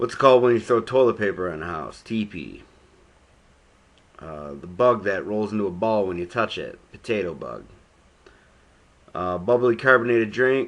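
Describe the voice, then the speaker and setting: A man's fairly low voice with an American accent, ordinary pitch variation, big swings in loudness, a moderate pace and long, frequent pauses. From Buffalo, New York. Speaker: vlogger. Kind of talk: accent tag word list and casual talk. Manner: casual with many fillers.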